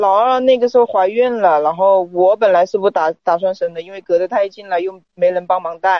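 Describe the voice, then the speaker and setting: The speech moves at a fairly quick pace with hardly any pauses. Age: 20s. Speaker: caller seeking relationship advice. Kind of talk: personal account to advice host.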